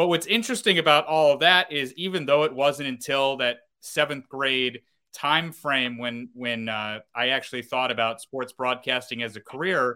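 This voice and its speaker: A man's bright, sharp tone at medium pitch with ordinary pitch variation, captured in a very clean recording with a silent background. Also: moderate pace. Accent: American. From upstate New York, North Syracuse. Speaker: minor league baseball play-by-play broadcaster. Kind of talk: casual interview. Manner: halting, many fillers.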